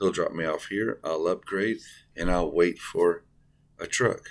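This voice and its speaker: A man talks quietly at a moderate pace. The recording is very clean, with a silent background. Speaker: truck driver trainee, vlogger. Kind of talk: casual vlog talk to camera. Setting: hotel room. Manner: quiet, kept down; hesitant, many fillers.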